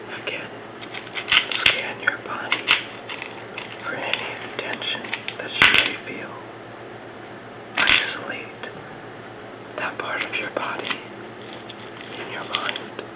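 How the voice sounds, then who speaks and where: Very slow whispering with long, frequent pauses, over noticeable background noise. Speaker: ASMR artist. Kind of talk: guided relaxation. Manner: whispered.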